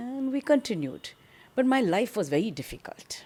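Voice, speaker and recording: Over a silent background on a very clean recording, a woman with a South Indian accent speaks in a dark, mellow tone with lively intonation. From South India, Bangalore. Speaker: social activist. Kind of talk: interview storytelling.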